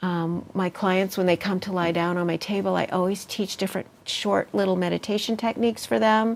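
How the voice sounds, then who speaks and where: A woman with an unremarkable speaking voice talks at a fairly quick pace with hardly any pauses, in a medium pitch with ordinary pitch variation. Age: 60s. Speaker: healer and meditation teacher. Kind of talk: interview.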